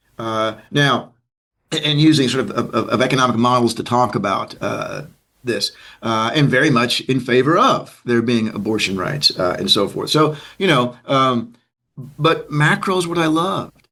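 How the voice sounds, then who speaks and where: An American-accented man at a medium pitch, with a bright, sharp tone, lively intonation and a moderate pace. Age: 60s. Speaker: economics professor. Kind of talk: interview conversation. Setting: online video call. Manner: halting, many fillers.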